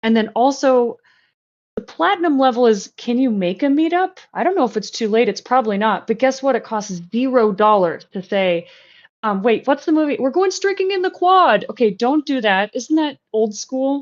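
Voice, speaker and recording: Her pitch is high and swings very widely. The woman is recorded against a quiet background. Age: 40s. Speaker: recruiter. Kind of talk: casual chat. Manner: fast; animated.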